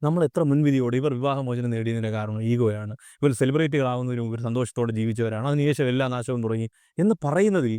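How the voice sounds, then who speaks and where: The man's voice is dark and mellow, at a medium pitch with ordinary variation. The sound is dry and close, with no echo. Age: 30s. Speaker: social commentator. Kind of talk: video monologue.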